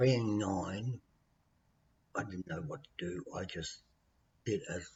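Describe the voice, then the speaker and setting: A man speaks in an Australian accent with a fairly low pitch. His voice is somewhat breathy and his intonation lively. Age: 60s. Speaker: vlogger telling his life story. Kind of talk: personal testimony. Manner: halting.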